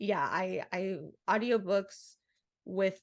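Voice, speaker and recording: This is a woman speaking at medium pitch. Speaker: podcast co-host. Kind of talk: casual chat.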